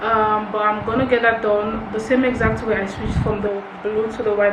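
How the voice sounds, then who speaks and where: A woman speaks at a moderate pace in a fairly high pitch with flat, monotone intonation, with audible room echo and noticeable background noise. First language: not English. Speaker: crochet tutorial creator. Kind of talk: tutorial. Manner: casual, chatty.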